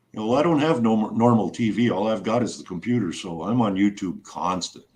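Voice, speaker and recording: Over a quiet background, a man with a plain, everyday voice talks fairly quickly at a fairly low pitch, his intonation lively. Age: 60s. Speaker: live stream host. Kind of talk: casual chat.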